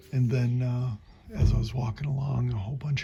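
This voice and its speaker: A man speaks quietly at a moderate pace. Background noise is noticeable. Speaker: travel vlogger walking the Camino. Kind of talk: casual vlog chat. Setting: indoors at pilgrim lodging, evening. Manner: hushed, keeping voice down.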